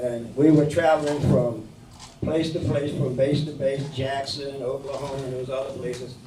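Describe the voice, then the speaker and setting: A man with an American accent, fairly high-pitched and flat in a monotone, at a moderate pace, with audible room echo and noticeable background noise. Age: 80s+. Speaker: war veteran. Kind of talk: speech to senior center audience. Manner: halting.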